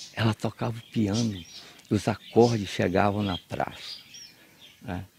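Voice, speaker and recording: A man speaks very slowly in a fairly low voice. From Bahia, Brazil (Cruz das Almas). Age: 80s+. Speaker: agronomist and writer. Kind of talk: interview. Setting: at home. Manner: halting.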